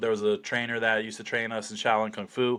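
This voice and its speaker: A loud man with an American accent, at medium pitch and in a bright, sharp tone, in a very clean recording with a silent background. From New Jersey, US. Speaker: slap fighter. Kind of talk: podcast interview, casual chat. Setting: in-person podcast studio. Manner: many fillers and restarts.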